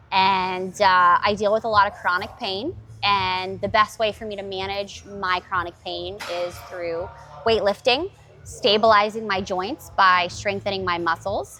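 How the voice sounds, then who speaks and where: With music in the background, a woman speaks at a fairly slow pace with fairly even intonation and big swings in loudness. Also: medium pitch for a woman. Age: 30s. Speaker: gym member talking about fitness with chronic illness. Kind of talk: casual chat.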